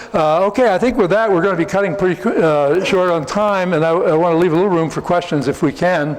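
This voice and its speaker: With a New Jersey accent, a man talks at a very fast pace and a high pitch, with ordinary pitch variation, very even loudness and hardly any pauses, amid noticeable background noise and audible room echo. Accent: American, New Jersey. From US Northeast, New Jersey. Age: 70s. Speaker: researcher and polygraph expert. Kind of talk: conference talk and Q&A. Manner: halting, many fillers.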